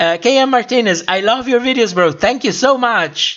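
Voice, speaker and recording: Speaking at a moderate pace with a non-native accent, a man uses a high voice with ordinary pitch variation. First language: not English. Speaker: YouTuber hosting a livestream. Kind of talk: livestream chat reading viewer comments. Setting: livestream. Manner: halting with many fillers.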